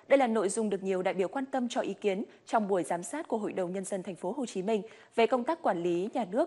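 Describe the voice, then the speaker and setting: A woman talks at a very fast pace with lively intonation. Her tone is dark and mellow, at a medium pitch. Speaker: news anchor. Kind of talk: news reading. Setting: studio. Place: studio. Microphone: lapel.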